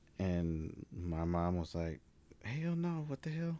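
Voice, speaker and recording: A man speaks at a very slow pace with a dark, mellow tone. The recording is very clean, with a silent background. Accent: American. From Dallas, Texas. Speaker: podcast co-host. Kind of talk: casual chat.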